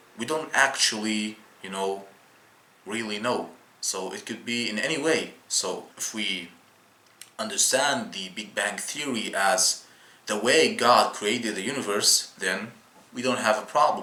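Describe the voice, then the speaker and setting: A man with a non-native accent speaks at a medium pitch and a fairly slow pace, with ordinary pitch variation and long, frequent pauses. Audible room echo and noticeable background noise fill the recording. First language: not English. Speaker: YouTuber explaining Islam. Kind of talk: casual video explainer. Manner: halting, many fillers and restarts.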